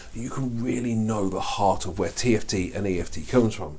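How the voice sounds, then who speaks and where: This man talks at a fairly quick pace with ordinary pitch variation. The room echo is audible, and background noise is noticeable. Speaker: life coaching trainer. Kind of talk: online course lecture. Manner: fast; animated.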